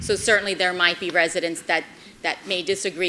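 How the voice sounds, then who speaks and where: Fairly quick, monotone delivery from a woman with a fairly low pitch and flat intonation. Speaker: mayor chairing city commission meeting. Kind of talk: public meeting debate. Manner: passionate.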